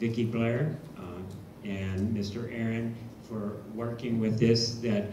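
A man talking at a fairly slow pace, with noticeable background noise. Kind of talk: meeting report. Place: hall.

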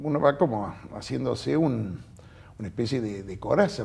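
Here a man speaks at a moderate pace with lively intonation. His tone is dark and mellow, with vocal fry. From Argentina. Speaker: judge. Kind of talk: interview. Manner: halting. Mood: calm, reflective. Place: studio. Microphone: lapel.

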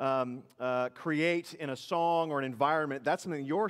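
In a quiet background, a man speaks at a moderate pace. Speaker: pastor. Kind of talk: prayer then sermon. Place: church.

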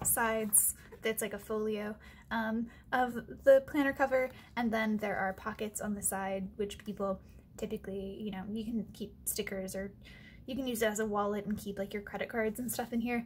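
Somewhat breathy speech with flat, monotone intonation at a moderate pace, over light background noise. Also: woman. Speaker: stationery vlogger. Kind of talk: casual vlog chat. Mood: cheerful, chatty.

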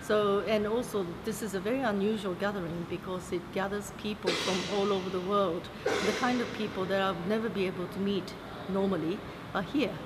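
A woman speaks at a moderate pace in a medium pitch, her intonation fairly even over loud background noise. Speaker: history professor. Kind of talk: interview. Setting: conference venue.

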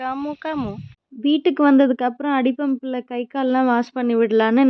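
Her pitch varying in an ordinary way, a woman talks in a high voice. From Tamil Nadu. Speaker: vlogger, mother. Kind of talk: casual vlog narration. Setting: at home and outdoors in village.

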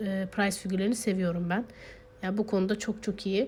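Somewhat breathy, a woman keeps her intonation fairly even. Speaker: figure collector YouTuber. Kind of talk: product showcase. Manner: hesitant fillers.

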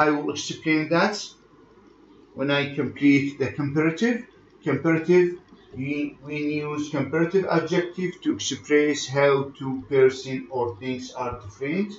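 Speaking at a moderate pace, a man uses a fairly high pitch. His pitch varies in an ordinary way. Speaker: English language teacher. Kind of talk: lecture. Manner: halting, code-switching between English and Arabic.

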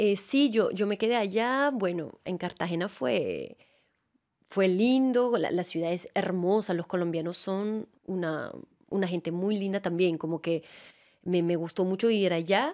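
A woman with a Venezuelan accent speaks at a fairly slow pace and medium pitch, with ordinary pitch variation over a quiet background. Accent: Latin American Spanish, Venezuelan-tinged. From France, Alps near Annecy; France. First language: French (speaking Spanish). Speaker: actress and theatre director; actress. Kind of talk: interview. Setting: studio. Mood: warm, smiling, animated. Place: studio. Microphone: studio mic.

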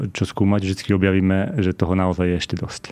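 A man talks with a very deep, low pitch in a monotone, flat delivery. Noticeable background noise runs behind him. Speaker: scientist. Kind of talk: interview. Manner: halting.

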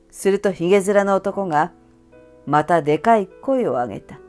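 With faint music behind her, a woman speaks at a moderate pace with lively intonation, a fairly low pitch and a slightly mellow tone.

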